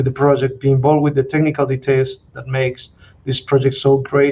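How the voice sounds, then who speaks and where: This voice talks at a very fast pace in an Argentine accent, with monotone, flat intonation. The tone is dark and mellow and somewhat breathy. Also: man. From Argentina. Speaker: mining company CEO and geologist. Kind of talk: interview.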